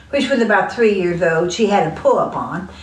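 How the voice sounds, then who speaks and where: Amid noticeable background noise and audible room echo, a woman with an American accent speaks at a fairly quick pace and a medium pitch. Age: old. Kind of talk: casual chat.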